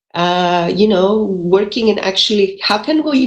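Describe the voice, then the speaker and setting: A woman with a Greek accent speaks with lively intonation. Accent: Greek, still noticeable. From Greece, mountain region. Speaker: engineering professor, energy institute director. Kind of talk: panel presentation. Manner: fast, many fillers.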